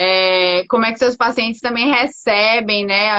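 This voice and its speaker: Here a woman is speaking. She talks in a Bahian accent. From Bahia, Brazil. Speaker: doctor. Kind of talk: casual chat. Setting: live stream.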